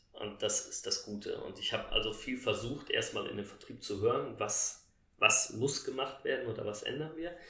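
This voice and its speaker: This man keeps a moderate pace. His voice carries audible room echo. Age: 40s. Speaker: sales director in house building. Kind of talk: interview. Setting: in person recording at Lake Constance.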